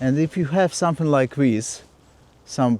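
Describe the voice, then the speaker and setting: A man's medium-pitched, dark, mellow voice with a non-native accent and lively intonation, dry and close with no echo. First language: not English. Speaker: landscape photographer. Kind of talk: vlog tutorial. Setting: outdoors.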